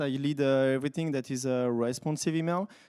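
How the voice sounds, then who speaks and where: Speaking with a French accent, a man uses a fairly high pitch, a dark, mellow tone and ordinary pitch variation on a very clean recording with a silent background. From France. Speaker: software developer, conference speaker. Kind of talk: conference talk. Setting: stage with audience. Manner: hesitant, many fillers.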